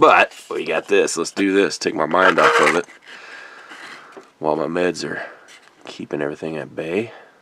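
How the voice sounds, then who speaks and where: A man talks at a moderate pace with long, frequent pauses. Noticeable background noise runs underneath. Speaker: model kit building youtuber. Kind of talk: casual build tutorial. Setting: at home. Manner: casual, unscripted.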